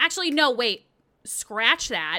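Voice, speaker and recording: Her voice is animated, with a bright, sharp tone and very wide pitch swings, as the woman talks at a moderate pace on a very clean recording with a silent background. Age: 30s. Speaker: podcast host and retro game streamer. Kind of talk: solo podcast monologue.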